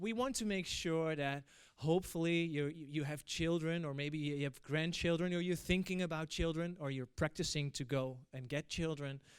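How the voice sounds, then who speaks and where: In a very clean recording with a silent background, a man with a Dutch accent talks at a moderate pace and a fairly high pitch, with ordinary pitch variation and hardly any pauses. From Netherlands. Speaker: event moderator. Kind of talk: opening speech. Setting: stage with audience. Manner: hesitant, many fillers.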